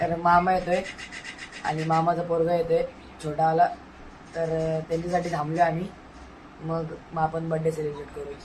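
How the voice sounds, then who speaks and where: A man speaks in a high pitch with monotone, flat intonation over noticeable background noise. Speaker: vlogger. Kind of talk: casual vlog. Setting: at home.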